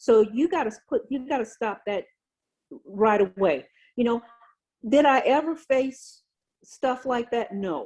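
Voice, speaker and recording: With an American accent, a woman speaks at a fairly slow pace in an animated tone, her intonation lively and her pauses long and frequent. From Louisiana, US South. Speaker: retired navy senior enlisted leader. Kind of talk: interview on leadership. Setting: video call.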